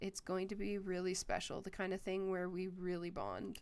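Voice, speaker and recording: A woman puts on a raspy character voice at a medium pitch. She speaks at a moderate pace. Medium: game stream. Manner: hesitant.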